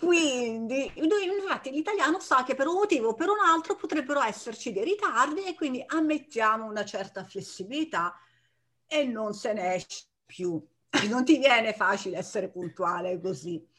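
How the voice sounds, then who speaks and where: A woman talks with a high pitch. Her voice moves in very wide pitch swings. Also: moderate pace. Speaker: Italian teacher, podcast co-host. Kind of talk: casual chat.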